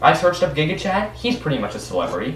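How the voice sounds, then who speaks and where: A man speaking at a very fast pace, with light background noise and audible room echo. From Canada. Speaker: YouTuber. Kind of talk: casual screen-recording commentary. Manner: animated; halting, with frequent repeats and fillers. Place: home room. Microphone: webcam.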